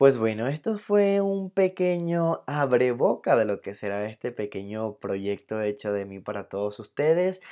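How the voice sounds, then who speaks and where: Against a quiet background, a man with a dark, mellow tone talks with hardly any pauses, very wide pitch swings and big swings in loudness. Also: medium pitch for a man, fairly slow pace. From Venezuela. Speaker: entertainment podcast host. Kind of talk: casual podcast monologue.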